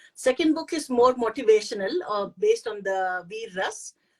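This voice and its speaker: The speaker talks at a fairly slow pace with an Indian accent. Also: woman. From India, Pune. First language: Hindi. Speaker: poet and author. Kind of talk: interview. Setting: online live stream. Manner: halting.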